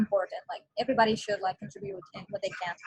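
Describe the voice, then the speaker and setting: A woman with an Arabic accent talks in a somewhat breathy voice. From Palestine. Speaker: online community member. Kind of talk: group video meeting discussion. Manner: hesitant, many fillers.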